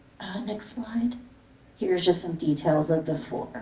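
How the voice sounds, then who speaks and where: A woman with a Canadian accent at a fairly slow pace, amid audible room echo. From Canada, immigrated from the Philippines as a child. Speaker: visual artist. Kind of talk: artist talk with slides. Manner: casual, many fillers.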